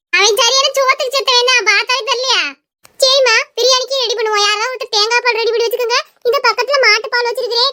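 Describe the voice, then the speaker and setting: A woman puts on a cartoonish character voice at an extremely high pitch. She moves at a fairly quick pace with fairly even intonation. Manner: chatty, dramatic.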